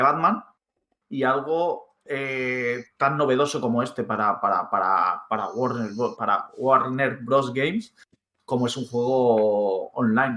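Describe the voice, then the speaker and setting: Speaking at a fairly slow pace, a man has a fairly high pitch, ordinary pitch variation and a bright, sharp tone. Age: 30s. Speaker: gaming podcast co-host. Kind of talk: casual chat.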